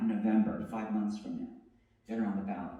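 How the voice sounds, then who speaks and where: There is audible room echo around a man's voice. His pitch swings very widely. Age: 50s. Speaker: poet. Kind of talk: public talk. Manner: halting, with self-corrections.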